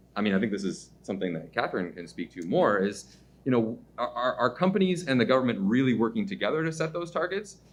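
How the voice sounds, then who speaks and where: A man speaks at a very fast pace with a medium pitch. His pitch swings very widely. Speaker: policy research director. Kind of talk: panel discussion. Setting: media briefing event.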